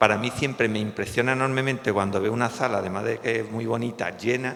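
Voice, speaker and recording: A man with a Cádiz Andalusian accent speaks at a fairly quick pace. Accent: Cádiz Andalusian accent, noticeable. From Cádiz, Andalusia, Spain. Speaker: psychologist, suicide prevention association president. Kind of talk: public talk. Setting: hall with audience. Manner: hesitant, with fillers and false starts.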